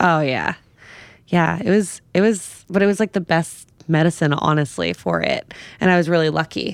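A normal speaking voice with an American accent, very even loudness, a moderate pace and ordinary pitch variation. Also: woman, fairly low pitch for a woman. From New York, the Bronx. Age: 30s. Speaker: sex and wellness writer. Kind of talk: casual chat.

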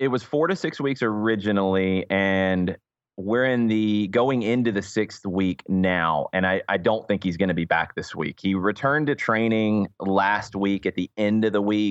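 A man with an American accent talks at a moderate pace with hardly any pauses, keeping a fairly low pitch, ordinary pitch variation and very even loudness. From US South, Atlanta, Georgia. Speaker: soccer radio color commentator. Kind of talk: casual interview chat.

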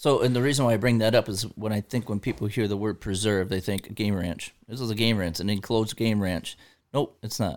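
A man speaks with an American accent at a fairly quick pace, his pitch fairly low. He has an unremarkable speaking voice with ordinary pitch variation. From Michigan. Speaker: hunter and sports official. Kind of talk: casual chat.

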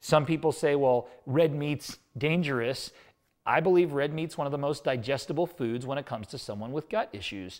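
On a very clean recording with a silent background, a man in a normal speaking voice talks at a moderate pace, fairly high in pitch with ordinary pitch variation. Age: 40s. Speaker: nutrition company co-founder and author. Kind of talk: casual chat.

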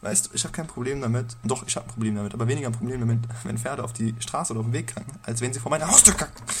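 A quiet man at medium pitch and a very fast pace, over noticeable background noise. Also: ordinary pitch variation. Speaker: podcast co-host. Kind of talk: casual chat. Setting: home recording at night.

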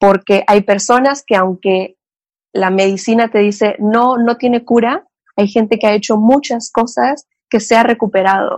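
With a Mexican accent, a woman speaks fairly slowly at a fairly high pitch, her intonation fairly even and her loudness very even. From Mexico, Cancún. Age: 30s. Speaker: psychotherapist. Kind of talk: interview, personal life story.

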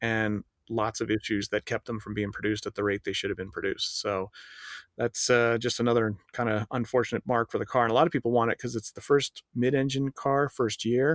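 A man with an American accent has a normal speaking voice at medium pitch. He talks at a fairly quick pace, and the sound is dry and close with no echo. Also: fairly even intonation. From Golden, Colorado. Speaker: car journalist, podcast co-host. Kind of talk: casual chat. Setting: remote internet call.

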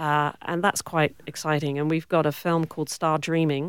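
A woman speaks at a moderate pace with a very deep, low pitch. The recording is very clean, and the background is silent. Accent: British. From Cornwall, southwest England. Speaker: film producer and director. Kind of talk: interview.

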